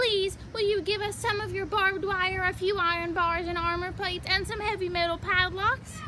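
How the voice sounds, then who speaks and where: A woman uses a put-on character voice at an extremely high pitch. She keeps a moderate pace with hardly any pauses over clear background noise. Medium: read story. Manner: timid but stubborn.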